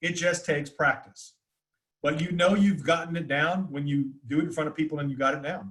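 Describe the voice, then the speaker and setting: Fairly high in pitch, a man talks quickly with an American accent. His intonation stays fairly even. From US South, north Florida. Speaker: communication teacher. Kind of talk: webinar Q&A. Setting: video call. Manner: fast; loud.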